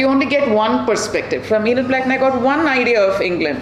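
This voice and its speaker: A woman's high-pitched voice in a South Indian accent, ordinary pitch variation, moderate pace, noticeable background noise and audible room echo. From Karnataka, South India (Bangalore). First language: Kannada. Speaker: children's author. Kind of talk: public talk to audience. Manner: animated.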